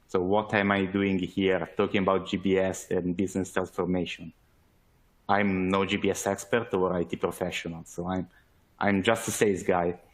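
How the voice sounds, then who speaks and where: A man with an Italian accent and a very deep, low pitch, at a moderate pace with monotone, flat intonation. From Italy. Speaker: sales manager, webinar speaker. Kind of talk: webinar presentation. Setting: online webinar. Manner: hesitant, many fillers.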